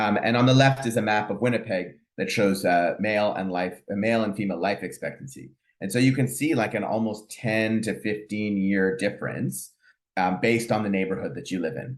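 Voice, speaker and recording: Against a quiet background, a man with a Canadian accent speaks in a fairly low pitch. His pace is fairly quick, with ordinary pitch variation. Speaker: family physician and professor. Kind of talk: lecture. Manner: fast; hesitant, many fillers.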